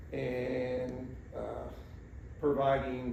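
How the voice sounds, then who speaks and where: A man with an American accent talks over noticeable background noise. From rural Missouri, USA. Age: 70s. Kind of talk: interview answer. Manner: halting, many fillers.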